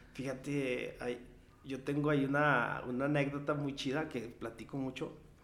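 The voice is monotone with flat intonation, and audible room echo surrounds it. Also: man, fairly high pitch for a man, moderate pace. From Mexico, rural ranch upbringing. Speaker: singer-songwriter. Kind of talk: casual chat.

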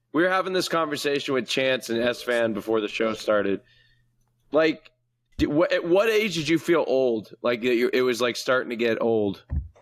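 In an ordinary speaking voice, a man talks at a moderate pace with a medium pitch. His intonation is lively. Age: 20s. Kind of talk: casual chat.

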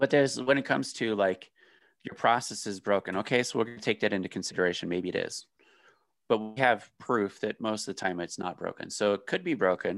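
Here is a plain, everyday voice from a man with a fairly low pitch and ordinary pitch variation. He talks at a fairly quick pace against a quiet background. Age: 30s. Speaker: e-commerce business owner. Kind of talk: casual chat.

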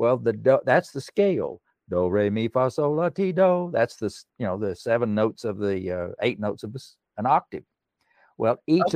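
A man speaks with an Appalachian accent at a medium pitch. His pitch swings very widely. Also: dry, close sound with no echo. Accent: Appalachian Southern US. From East Tennessee (Erwin). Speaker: songwriter and pianist. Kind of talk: interview.

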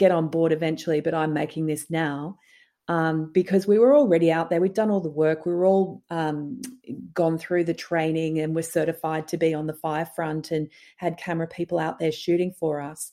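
Over a silent background in a very clean recording, a woman speaks with an Australian accent. Her tone is dark and mellow, her pitch fairly low, and her intonation fairly even. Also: fairly quick pace. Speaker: documentary producer and director. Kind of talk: interview.

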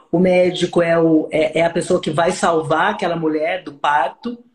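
Fairly even intonation from a man with a high pitch, at a moderate pace. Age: 40s. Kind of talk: casual interview chat.

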